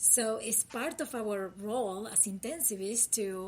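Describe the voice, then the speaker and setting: In a Uruguayan accent, a woman talks at a fairly high pitch with ordinary pitch variation. Her voice is somewhat breathy. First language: Spanish. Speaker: critical care physician. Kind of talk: interview podcast.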